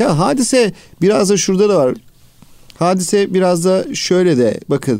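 A high-pitched man's voice with a dark, mellow tone, very even loudness, lively intonation and a moderate pace. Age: 40s. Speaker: educator, school administrator. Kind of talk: radio interview.

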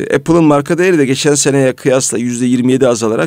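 Dark and mellow in tone, a man's medium-pitched voice varies in pitch in an ordinary way. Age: 40s. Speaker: radio host. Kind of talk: radio talk show.

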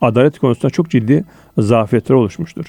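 A man's dark, mellow tone at a moderate pace, dry and close with no echo. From Turkey, Konya (central Anatolia). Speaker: lawyer and legal academic. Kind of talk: radio interview.

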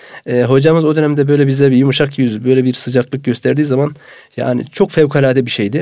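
Dark and mellow in tone, a man's medium-pitched voice moves at a fairly quick pace with ordinary pitch variation. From Turkey, Samsun Vezirköprü. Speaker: mosque muezzin. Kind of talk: radio interview. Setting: studio.

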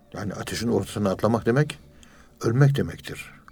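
With music in the background, a man speaks at a fairly quick pace with ordinary pitch variation. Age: 60s. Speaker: professor of Sufism. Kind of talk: religious lecture.

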